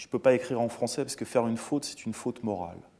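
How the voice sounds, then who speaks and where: Here a man speaks at medium pitch with a dark, mellow tone. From France. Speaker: interviewer. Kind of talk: interview.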